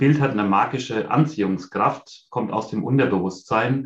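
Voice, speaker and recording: With a plain, everyday voice, a man speaks at a moderate pace using ordinary pitch variation. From Bavaria, near Munich. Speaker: leader and vision board workshop coach. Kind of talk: interview.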